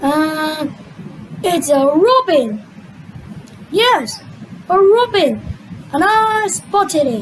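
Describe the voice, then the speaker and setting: In a put-on character voice with a high pitch, the speaker goes at a very slow pace with long, frequent pauses, and clear background noise is present. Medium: fan dub.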